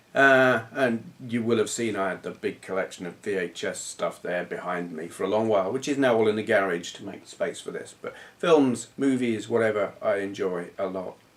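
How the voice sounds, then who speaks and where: At a moderate pace with hardly any pauses, a medium-pitched man speaks with ordinary pitch variation and big swings in loudness, over noticeable background noise. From southern England. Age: 40s. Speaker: retro gaming youtuber. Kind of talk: casual vlog chat.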